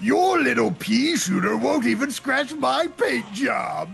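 A put-on character voice from a man, shouting at an extremely high pitch and a fairly slow pace, with clear background noise. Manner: taunting.

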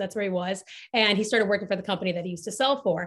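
A woman speaks with a plain, everyday voice at a medium pitch. Her intonation is fairly even against a quiet background. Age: 20s. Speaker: marketing executive. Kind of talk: casual chat.

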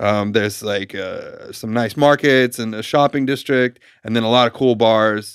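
An unremarkable speaking voice from a man, moderate in pace, with fairly even intonation. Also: medium pitch for a man. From New York. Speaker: podcast host and tour photographer. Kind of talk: casual chat. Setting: studio.

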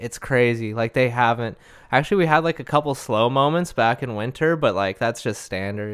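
With an American accent, a man with an unremarkable speaking voice talks at a fairly quick pace in a medium pitch. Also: ordinary pitch variation. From Arizona, Lake Havasu. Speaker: welder. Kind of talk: casual chat.

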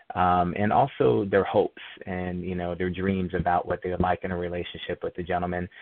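An American accent at a moderate pace, with ordinary pitch variation. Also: man. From Phoenix, Arizona, US Southwest. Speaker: author. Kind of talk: interview.

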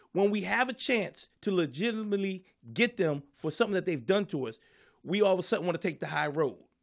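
A man speaks at a very fast pace with a high pitch and lively intonation. The recording is very clean, with a silent background. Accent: American. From US Northeast, Philadelphia. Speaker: comedian. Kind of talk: casual chat.

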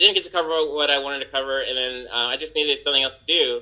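This is a man speaking. He has an American accent. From Los Angeles. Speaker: entertainment industry worker. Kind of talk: casual chat. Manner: hesitant, many fillers.

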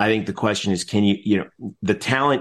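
In a normal speaking voice, a man talks at a fairly low pitch with ordinary pitch variation over a quiet background. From New Jersey, Essex County. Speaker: sports blogger and stadium announcer. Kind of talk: casual sports talk interview.

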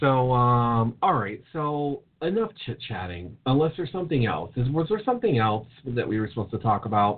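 In a normal speaking voice, a man talks at medium pitch and a moderate pace with lively intonation and hardly any pauses. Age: 30s. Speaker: podcast co-host. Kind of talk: casual chat.

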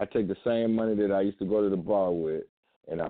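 With an American accent, a man talks at a fairly quick pace in a very deep, low voice with fairly even intonation. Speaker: community organizer. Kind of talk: casual radio talk.

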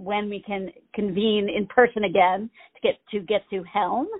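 In an American accent, a woman with fairly high pitch talks at a moderate pace, using an ordinary speaking voice with ordinary pitch variation. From Maine, US. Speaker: theater director. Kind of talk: interview. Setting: phone call.

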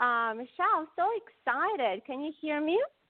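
A woman speaks with a non-native accent. Her high voice has lively intonation. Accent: cute foreign. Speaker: leadership coach and show host. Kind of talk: interview.

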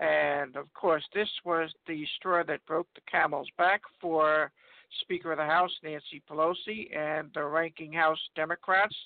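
An unremarkable speaking voice with fairly even intonation, delivered at a fairly slow pace. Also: man. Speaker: political commentator. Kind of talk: political discussion. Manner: formal.

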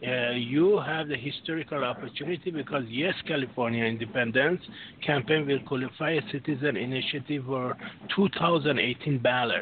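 Over noticeable background noise, a man speaks at a moderate pace with a fairly high pitch and ordinary pitch variation. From Europe, France. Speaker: caller. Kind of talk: call-in discussion. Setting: phone call.

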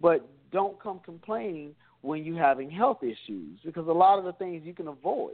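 A man's normal speaking voice, fairly high-pitched, at a fairly quick pace with lively intonation. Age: 30s. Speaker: personal trainer. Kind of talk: casual chat.

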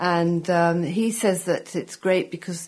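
At a fairly slow pace, a woman with an English accent speaks in a fairly low pitch. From England. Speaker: food journalist. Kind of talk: interview. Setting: studio.

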